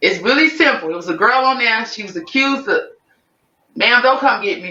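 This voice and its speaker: The delivery is animated and fairly quick. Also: woman. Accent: strong New Orleans. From Chicago. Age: 40s. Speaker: singer-songwriter. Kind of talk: interview. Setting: podcast.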